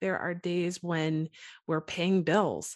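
Against a quiet background, a woman uses a normal speaking voice at medium pitch and a fairly slow pace. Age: 30s. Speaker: church worship leader and mom. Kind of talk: casual faith-based interview chat.

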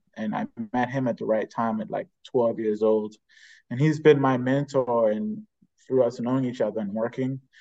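Speaking at a moderate pace, a man shows ordinary pitch variation in a dark, mellow tone. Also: medium pitch for a man, quiet background. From Bahamas. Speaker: jazz trumpeter. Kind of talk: interview.

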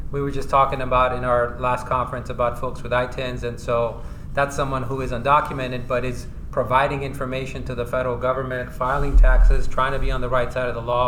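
A man with an American accent at a very fast pace, with audible room echo and noticeable background noise. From California, San Diego. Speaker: tax attorney. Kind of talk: interview. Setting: conference.

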